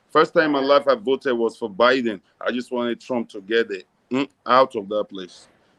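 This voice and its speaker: At a moderate pace, a man speaks in an American accent with a medium pitch. His pitch variation is ordinary, and the sound is dry and close with no echo. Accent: American with Nigerian roots. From Nigeria, raised mostly in the US. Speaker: philanthropist. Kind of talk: interview.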